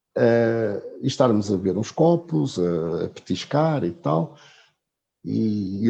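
Lively intonation marks this man's somewhat breathy voice. His tone is dark and mellow. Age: 50s. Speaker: travel blogger. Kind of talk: casual chat. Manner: halting.

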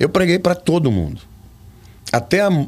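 A man talks with very wide pitch swings. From Brazil, São Paulo interior (Olímpia). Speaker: pastor and preacher. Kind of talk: interview.

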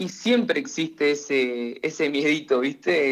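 A man speaks in an ordinary speaking voice. His pitch is fairly high, and his pace is fairly slow. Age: 20s. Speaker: hairdresser. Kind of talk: interview.

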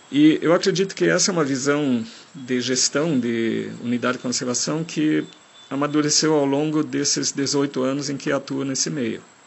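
A man talks at a moderate pace, his pitch fairly high with ordinary variation. Noticeable background noise is present. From Germany. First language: German (speaking Portuguese). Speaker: forest engineer and park manager. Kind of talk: recorded interview answers. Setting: outdoors in a national park. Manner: halting.

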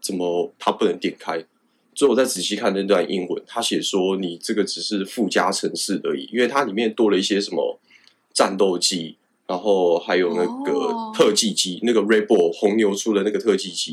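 At a moderate pace, a man with a fairly low pitch uses an ordinary speaking voice with ordinary pitch variation. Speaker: fighter pilot. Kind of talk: interview.

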